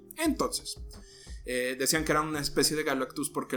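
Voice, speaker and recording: A man talks with music in the background. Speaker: podcast host. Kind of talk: casual storytelling podcast. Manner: halting.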